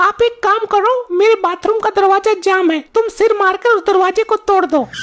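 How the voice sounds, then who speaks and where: A woman's cartoonish character voice at an extremely high pitch, with fairly even intonation, very even loudness and a fairly quick pace. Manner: bossy and mocking.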